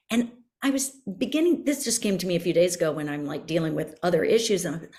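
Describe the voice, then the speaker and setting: With an American accent, a woman speaks at a very fast pace in a dark, mellow tone, her fairly low pitch making very wide swings and her voice somewhat breathy. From US South, Miami, Florida. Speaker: podcast guest. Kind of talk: podcast conversation.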